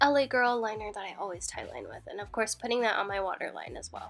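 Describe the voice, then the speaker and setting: Music in the background beneath ordinary pitch variation. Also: woman. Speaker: makeup artist. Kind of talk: makeup tutorial voiceover. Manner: casual, chatty.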